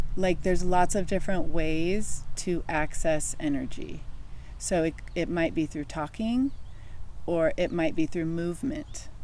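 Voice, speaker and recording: At a fairly slow pace, a woman's fairly low voice has a dark, mellow tone and ordinary pitch variation. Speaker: wellness and spirituality podcast co-host. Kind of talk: casual conversation. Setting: outdoors in the sun. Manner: halting, searching for words.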